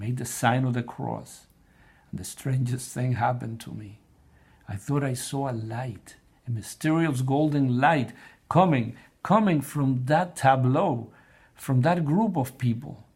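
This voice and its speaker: A man with a Spanish accent speaks at a fairly slow pace and medium pitch, with ordinary pitch variation. His voice is somewhat breathy and swings widely in loudness. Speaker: blog writer and presenter on prayer. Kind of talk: personal testimony. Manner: halting, with repetitions.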